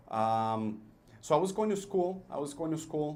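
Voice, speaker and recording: The man's speech moves at a moderate pace. Room echo can be heard around it. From El Paso, Texas / Juárez border area. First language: Spanish. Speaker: business owner, entrepreneur. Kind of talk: radio interview. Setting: studio. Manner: hesitant, many fillers.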